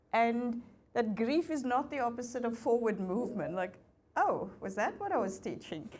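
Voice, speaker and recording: A woman speaks at a high pitch with very wide pitch swings. Room echo is audible. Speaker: facilitator and business school lecturer. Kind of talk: fireside chat on stage.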